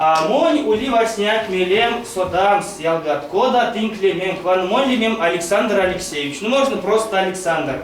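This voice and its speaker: A man with lively intonation, music in the background and audible room echo. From Mordovia, Russia (Saransk). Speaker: Erzya language teacher. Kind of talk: language lesson.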